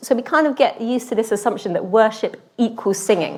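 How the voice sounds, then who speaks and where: A woman with an English accent speaks at a fairly high pitch. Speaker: lay preacher. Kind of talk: sermon. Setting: church. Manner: conversational, with fillers.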